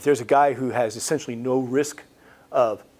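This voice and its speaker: A man with an American accent, medium-pitched and flat in a monotone. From United States. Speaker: cancer researcher. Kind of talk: lecture. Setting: presentation to a support group.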